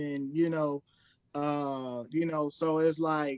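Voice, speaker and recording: A man in a monotone, flat intonation with a Southern Arkansas accent, on a dry, close sound with no echo. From Arkansas, El Dorado. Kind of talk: casual interview.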